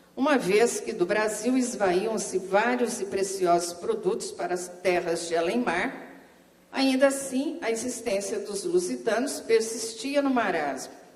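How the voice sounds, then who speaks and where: Over noticeable background noise and audible room echo, a woman with a fairly high voice speaks fairly slowly with lively intonation. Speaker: history professor. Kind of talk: academic paper reading; lecture. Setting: seminar panel with audience. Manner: soft-spoken.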